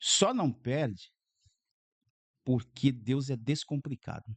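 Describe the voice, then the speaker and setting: This man comes across with a dry, close sound and no echo. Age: 60s. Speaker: pastor. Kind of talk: podcast interview.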